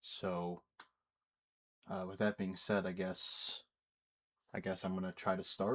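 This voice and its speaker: In an American accent, a man talks with a very deep, low pitch and monotone, flat intonation. The recording is very clean, with a silent background. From United States. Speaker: YouTuber. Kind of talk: unscripted personal monologue. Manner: hesitant, many fillers.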